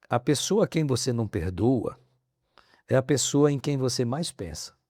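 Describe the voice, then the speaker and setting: Dry and close with no echo, a man's voice has a dark, mellow tone. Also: very clean recording, silent background. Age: 60s. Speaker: professor. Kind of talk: podcast interview. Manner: halting.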